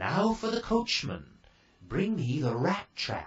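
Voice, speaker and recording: Using a put-on character voice pitched high, a man talks at a fairly slow pace. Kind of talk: bedtime story. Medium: read story. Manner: kindly, brisk.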